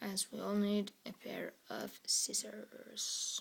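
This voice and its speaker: The speaker whispers. The accent is Norwegian. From Norway. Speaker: product reviewer. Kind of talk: product review tutorial.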